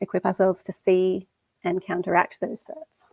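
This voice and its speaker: On a very clean recording with a silent background and a dry, close sound with no echo, a woman with an Australian accent speaks at medium pitch and a fairly quick pace. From Western Australia. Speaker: conference speaker. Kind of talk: conference talk. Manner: casual.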